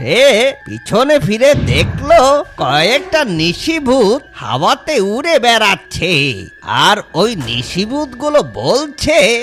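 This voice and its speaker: This cartoonish character voice moves at a very slow pace over clear background noise. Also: man, extremely high pitch for a man. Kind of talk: spooky bedtime story.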